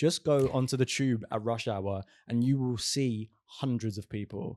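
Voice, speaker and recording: A man with a Southern English accent speaks at a medium pitch with ordinary pitch variation, recorded very cleanly against a silent background with a dry, close sound and no echo. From southern England, Essex/London. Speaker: podcast co-host, healing coach. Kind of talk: casual podcast chat.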